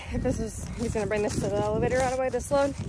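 A woman is speaking with ordinary pitch variation. Faint background noise sits behind her.

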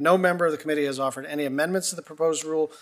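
This man talks. His pace is very fast. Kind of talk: procedural meeting chairing. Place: hall. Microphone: podium.

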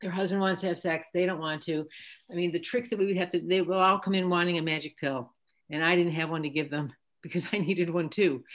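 A woman with an American accent speaks at a very fast pace with fairly even intonation. The background is quiet. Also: fairly low pitch for a woman. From US Midwest. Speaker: physician and Parkinson's advocate; guest. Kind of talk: panel discussion. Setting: video call. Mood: candid, warm. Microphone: video call.

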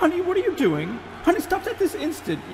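Over clear background noise, a female-sounding voice does a squeaky, put-on character voice at an extremely high pitch and a very fast pace. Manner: annoying, nagging, scolding.

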